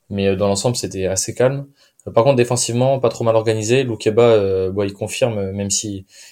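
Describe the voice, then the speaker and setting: At a very fast pace, a man talks in a fairly low pitch with fairly even intonation. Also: very clean recording, silent background. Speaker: football podcast host. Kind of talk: casual chat.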